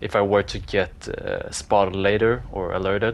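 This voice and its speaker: A man talks with a non-native accent. His pitch is fairly low. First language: not English. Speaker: gaming YouTuber. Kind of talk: voiceover commentary on gameplay. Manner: casual, hesitant with fillers.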